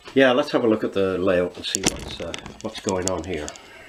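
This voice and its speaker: Over noticeable background noise, a man with a very deep, low voice talks at a moderate pace. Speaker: model railway hobbyist. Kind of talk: casual show-and-tell.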